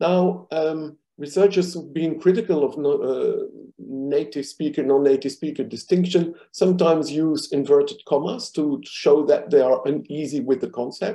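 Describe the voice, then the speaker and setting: A man with a non-native accent, fairly high in pitch yet dark and mellow in tone, ordinary pitch variation, moderate pace. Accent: foreign accent in English. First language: not English. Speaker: linguistics professor. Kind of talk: academic presentation. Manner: many filler hesitations.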